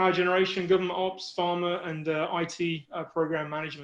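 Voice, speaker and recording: Over a quiet background, a man with a British accent speaks in a high, monotone, flat voice. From UK. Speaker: project risk manager. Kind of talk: webinar presentation. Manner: halting, many fillers.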